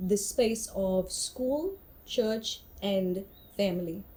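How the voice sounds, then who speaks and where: Her tone is dark and mellow, and somewhat breathy. The woman speaks at a medium pitch. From South Africa, Cape Town (Cape Flats, Mitchells Plain). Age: young. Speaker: artist. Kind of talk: interview testimony.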